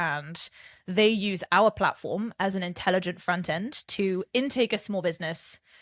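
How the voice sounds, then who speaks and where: The speaker has an English accent and a moderate pace. Pitch variation is ordinary, and the recording is very clean with a silent background. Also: woman, medium pitch for a woman. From France, English family from southern England. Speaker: startup founder. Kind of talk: podcast interview. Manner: articulate, eloquent.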